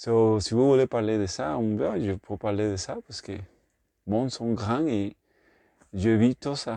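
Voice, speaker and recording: Speaking with a Puerto Rican accent, a man with a medium pitch and a dark, mellow tone talks at a fairly slow pace with long, frequent pauses, in a dry, close sound with no echo against a quiet background. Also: ordinary pitch variation. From Puerto Rico. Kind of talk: casual talk to camera. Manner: hesitant, non-native French with English fillers.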